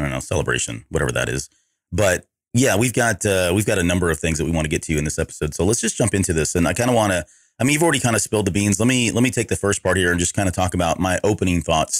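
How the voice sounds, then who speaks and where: A man talks at a very fast pace in a very deep, low voice. Vocal fry runs through his speech. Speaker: podcast host. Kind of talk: casual chat.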